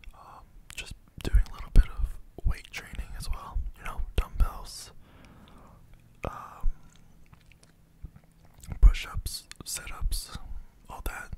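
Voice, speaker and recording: A soft-spoken man whispers at a very slow pace, leaving long, frequent pauses. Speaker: content creator. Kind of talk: casual ASMR-style vlog chat. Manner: soft close-mic ASMR whisper. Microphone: studio mic.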